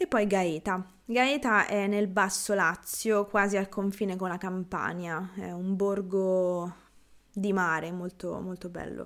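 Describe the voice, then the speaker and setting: In a very clean recording with a silent background, a woman with a medium pitch and a relaxed tone speaks at a very slow pace. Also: fairly even intonation. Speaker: Italian language teacher podcaster. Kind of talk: casual Q&A monologue.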